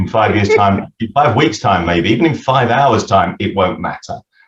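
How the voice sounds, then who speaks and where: A somewhat breathy male voice. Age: 60s. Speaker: retired accountant and business author. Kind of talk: podcast interview. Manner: halting with frequent repetitions.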